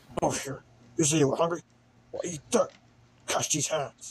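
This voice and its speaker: In a put-on character voice, a man with a fairly high pitch speaks at a moderate pace. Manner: angry, aggressive.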